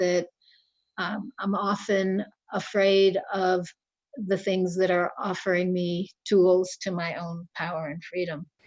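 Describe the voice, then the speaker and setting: Her voice sits at a medium pitch. The woman's intonation stays flat and monotone. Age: 60s. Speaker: Vodou priestess. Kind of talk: interview.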